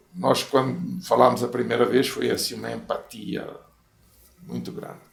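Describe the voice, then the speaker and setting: A man's loudness swings widely in a recording with audible room echo. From Portugal. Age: 80s+. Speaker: former mayor. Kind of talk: interview storytelling. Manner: conversational, frequent fillers.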